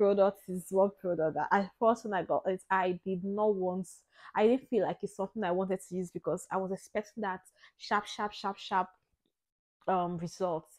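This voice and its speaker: An unremarkable speaking voice at a moderate pace, with a dry sound and no echo. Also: woman, medium pitch for a woman, fairly even intonation, quiet background. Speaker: lifestyle vlogger. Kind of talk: product review. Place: home room. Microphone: lapel.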